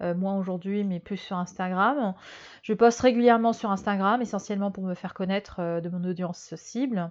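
A woman's medium-pitched voice, with ordinary pitch variation, comes through over a quiet background. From Algeria, Germany and Madagascar. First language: Malagasy (speaking French). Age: 30s. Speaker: fashion strategy consultant. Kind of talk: interview. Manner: hesitant, many fillers.

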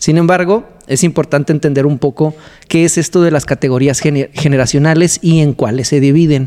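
A man with a Mexican accent speaks at a moderate pace in a fairly high pitch, his tone dark and mellow. His intonation stays fairly even and his loudness very even. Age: 30s. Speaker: podcast host. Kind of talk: casual chat.

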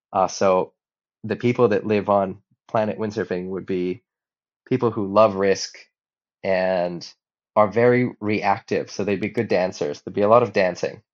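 A man's fairly low-pitched voice in a Hawaiian accent, at a moderate pace with fairly even intonation and long, frequent pauses. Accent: American (Hawaii). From Hawaii, Maui. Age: 30s. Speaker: professional windsurfer. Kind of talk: interview. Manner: halting, frequent repetitions.

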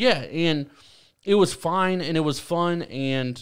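A man's normal speaking voice, fairly slow, with ordinary pitch variation. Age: 20s. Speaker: podcast host. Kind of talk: casual chat.

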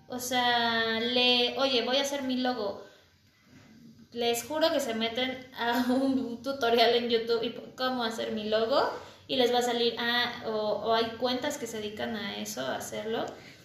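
A woman speaks at a fairly slow pace in a high pitch and a flat monotone, with audible echo from the room. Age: 30s. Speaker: small business owner. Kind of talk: casual chat.

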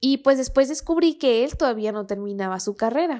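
A woman with a Mexican accent and lively intonation, on a very clean recording over a silent background. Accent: Mexican Spanish (Jalisco). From Mexico, Guadalajara. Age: 20s. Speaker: podcast host. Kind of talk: storytelling monologue.

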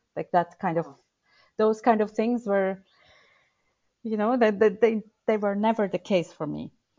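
The speaker has a Turkish accent and fairly even intonation. The delivery is fairly slow, with long, frequent pauses. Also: woman, fairly high pitch for a woman. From Turkey. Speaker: burnout and well-being coach. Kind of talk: interview.

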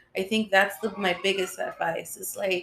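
With noticeable background noise, a woman speaks at a fairly slow pace in a medium pitch and a monotone, flat intonation. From California (San Francisco, Los Angeles). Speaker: cosmetologist and beauty business owner. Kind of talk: casual interview.

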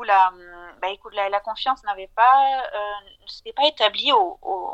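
In a normal speaking voice, a woman speaks at a fairly high pitch with ordinary pitch variation, the sound dry and close with no echo. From southern France. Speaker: financial advisor. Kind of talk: interview.

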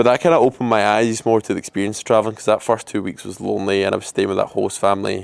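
This man talks at a very fast pace with hardly any pauses, in a Scottish accent. His fairly low voice keeps a fairly even intonation while the loudness swings widely. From Scotland. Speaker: podcaster and traveller. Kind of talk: casual monologue. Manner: rambling, informal.

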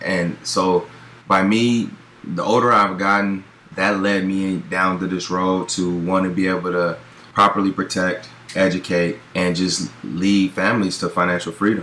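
A man with an American accent speaks at a fairly slow pace in a very deep, low voice, his tone bright and sharp and his intonation fairly even. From US West Coast, Pasadena, California. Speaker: former pro football player turned financial advisor. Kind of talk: interview.

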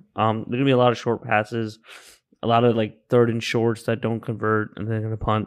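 A man's medium-pitched voice in a flat monotone against a quiet background. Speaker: podcast co-host, sports bettor. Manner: laid-back, teasing, chiming in with laughs.

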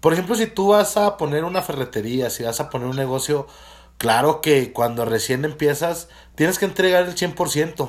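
Fairly high in pitch, a man talks in an animated tone at a moderate pace. His intonation is lively. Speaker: podcast host. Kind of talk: casual chat.

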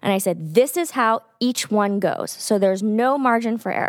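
On a very clean recording with a silent background, a woman with an American accent uses a normal speaking voice, fairly high in pitch with ordinary pitch variation. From Texas. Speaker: podcast co-host. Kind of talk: casual chat. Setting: studio.

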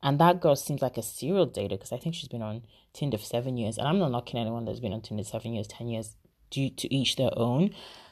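Against a quiet background, a woman with a very deep, low pitch speaks at a very fast pace in an animated tone. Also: lively intonation. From Nigeria. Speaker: YouTube vlogger. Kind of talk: casual monologue.

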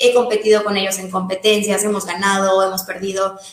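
There is audible room echo around this speaker. She is a woman talking at a moderate pace. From Mérida, Yucatán, Mexico. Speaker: CrossFit coach and nutritionist. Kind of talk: casual interview.

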